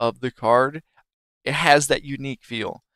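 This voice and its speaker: On a very clean recording with a silent background and a dry, close sound with no echo, a man speaks at a moderate pace with a fairly high pitch. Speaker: streamer. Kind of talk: tutorial.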